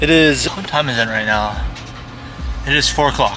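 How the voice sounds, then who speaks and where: Over noticeable background noise and audible room echo, a man speaks at a fairly quick pace. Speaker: vlogger. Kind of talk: casual vlog monologue. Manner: whispering at lunch; casual, rambling with repetitions.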